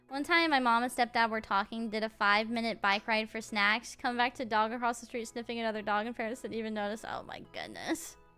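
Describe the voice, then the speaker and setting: A woman with a Southern US accent talks at a very fast pace in a fairly high pitch, with hardly any pauses. Her tone is animated, with music in the background. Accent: light Southern US. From US South. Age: 20s. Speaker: VTuber streamer. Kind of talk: casual chat. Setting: home streaming room.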